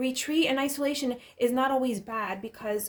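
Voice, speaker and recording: The speech is mumbled, with ordinary pitch variation. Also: woman. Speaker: tarot reader. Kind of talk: tarot reading. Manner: mumbling; halting.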